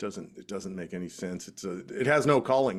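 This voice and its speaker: A man with an unremarkable speaking voice speaks at a fairly quick pace and a fairly low pitch. The recording is very clean, with a silent background. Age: 60s. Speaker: juggler and performer. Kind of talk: interview answer. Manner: casual, conversational.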